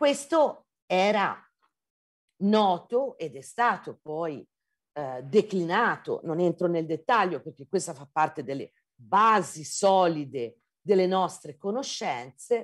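Speaking very slowly in a Tuscan accent, a woman swings widely in pitch and makes big jumps in loudness. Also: quiet background. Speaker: geology professor. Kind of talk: lecture. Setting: video call. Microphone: video call.

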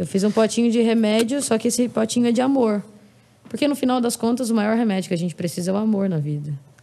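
A woman's very fast speech, fairly high in pitch, with a dark, mellow tone and ordinary pitch variation. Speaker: singer; podcast guest. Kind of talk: casual chat. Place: home room. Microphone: studio mic.

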